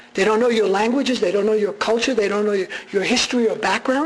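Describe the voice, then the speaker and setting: A man at a very fast pace, ordinary pitch variation, noticeable background noise. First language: Armenian. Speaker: radio journalist giving a talk. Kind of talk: public lecture. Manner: animated.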